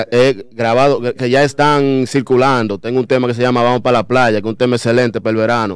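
At a very fast pace with hardly any pauses, a man speaks at a medium pitch in a monotone, flat intonation, with a dry sound and no echo. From Dominican Republic (La Vega) and the Bronx, New York; Dominican Republic. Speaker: rapper; guest. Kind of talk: radio interview. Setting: radio studio. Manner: halting. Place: studio. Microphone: studio mic.

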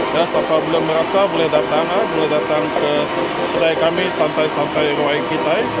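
Against loud background noise, a man speaks at a moderate pace. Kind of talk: casual commentary and promotion. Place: cafe. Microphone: phone near.

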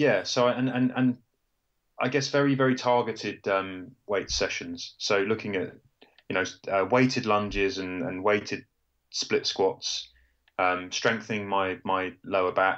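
A man with a British accent speaks at medium pitch and a fairly slow pace, with ordinary pitch variation. He takes long, frequent pauses over a quiet background. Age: 30s. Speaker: journalist and amateur ultrarunner. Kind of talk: interview.

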